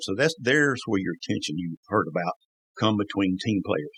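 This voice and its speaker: Dry, close sound with no echo, carrying a man's voice with a Southern US accent. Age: 60s. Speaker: former NASCAR crew member. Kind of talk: casual interview storytelling. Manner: animated.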